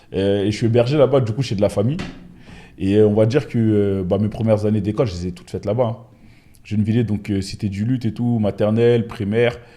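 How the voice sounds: A man with a dark, mellow tone talks at a fast pace. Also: fairly low pitch for a man, fairly even intonation.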